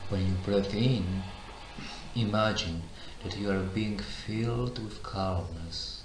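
A fairly low-pitched man at a very slow pace, with fairly even intonation, long, frequent pauses and noticeable background noise. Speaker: meditation guide. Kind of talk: guided meditation.

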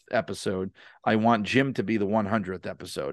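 Against a quiet background, a man with a New York accent talks at a fairly quick pace. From New York City (Brooklyn). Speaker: wrestling author and podcaster. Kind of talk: podcast interview.

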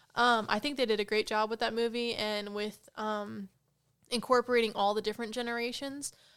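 Over a very clean recording with a silent background, a woman talks quite quickly at a fairly high pitch in a flat, monotone way. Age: 20s. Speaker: gamer guest. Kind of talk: casual chat.

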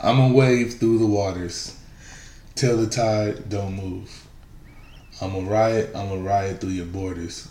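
A man talks at a very slow pace with long, frequent pauses, his fairly low, somewhat breathy voice having a dark, mellow tone, fairly even intonation and big swings in loudness. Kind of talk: casual chat. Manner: casual, profane.

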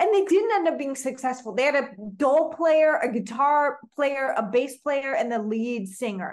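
A woman speaks at a moderate pace in a high voice with lively intonation. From Oklahoma. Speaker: singer-songwriter and filmmaker. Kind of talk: casual interview conversation.

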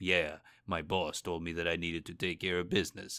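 A put-on character voice from a man, raspy and very deep, with monotone, flat intonation at a fairly quick pace, in a very clean recording with a silent background. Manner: tough, flat, unenergetic.

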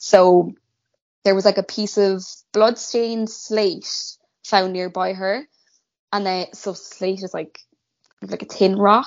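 With a Cork accent, a woman speaks very slowly in a monotone, flat intonation, with long, frequent pauses and big swings in loudness. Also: medium pitch for a woman. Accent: Cork Irish. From Ireland, Cork. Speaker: guest co-host. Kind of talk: casual chat, true crime storytelling.

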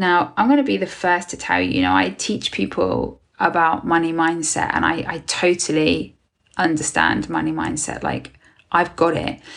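This woman has a British accent. She talks at a moderate pace. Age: 40s. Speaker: podcast host and business mentor for therapists. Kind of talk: solo podcast monologue. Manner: casual, conversational with fillers.

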